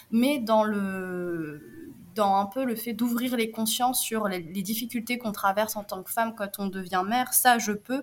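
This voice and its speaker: Somewhat breathy, a woman talks at a fairly slow pace with ordinary pitch variation and hardly any pauses. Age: 30s. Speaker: entrepreneur. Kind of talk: interview.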